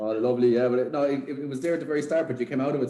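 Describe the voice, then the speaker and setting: A man speaks with an Irish accent. His fairly high voice has a dark, mellow tone. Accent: Irish (Sligo). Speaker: podcast host. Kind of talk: casual chat. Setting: video call.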